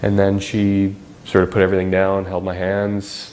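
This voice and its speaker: With a very deep, low pitch, a man talks at a moderate pace in a space with audible room echo. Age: 30s. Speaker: spinal cord injury survivor. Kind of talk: documentary interview testimony. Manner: halting, many fillers.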